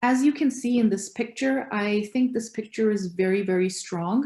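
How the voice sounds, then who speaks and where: The tone is dark and mellow, and somewhat breathy. Pitch moves in an ordinary way. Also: woman. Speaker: law student giving a talk. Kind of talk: presentation. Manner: halting, many fillers.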